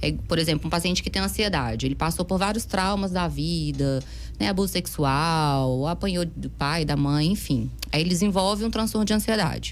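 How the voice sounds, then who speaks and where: With audible room echo around her, a woman speaks at very even loudness and hardly pauses at all. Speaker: psychiatrist. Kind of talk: interview. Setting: studio. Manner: fast.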